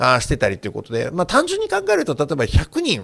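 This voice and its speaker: A man with vocal fry and an animated tone on a very clean recording with a silent background. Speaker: university professor and work commentator. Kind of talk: interview.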